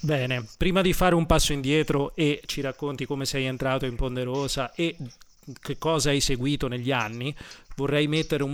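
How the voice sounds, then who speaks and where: With an ordinary speaking voice, a man speaks at a moderate pace, his pitch fairly high and his intonation fairly even. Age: 30s. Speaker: radio host and concert promoter. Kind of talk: radio interview.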